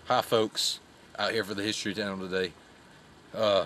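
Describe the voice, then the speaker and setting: A man speaks at a fairly low pitch in a bright, sharp tone. The sound is dry with no echo, with light background noise. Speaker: mock documentary host. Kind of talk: playful mock documentary narration. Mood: deadpan jokey. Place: forest. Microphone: phone near.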